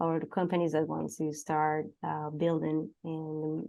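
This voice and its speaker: A woman's very deep, low voice at a fairly slow pace, with a Spanish accent. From Venezuela. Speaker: XR consultant and lecturer. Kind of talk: casual interview conversation. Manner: halting, many fillers.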